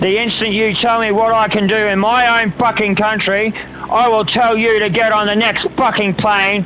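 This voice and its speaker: With noticeable background noise behind him, a man speaks in a raised, projected voice at a high pitch and a moderate pace, his intonation monotone and flat and his loudness very even. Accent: Australian. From Australia. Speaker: gamer streamer and military veteran. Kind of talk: casual livestream rant. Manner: angry, profane ranting.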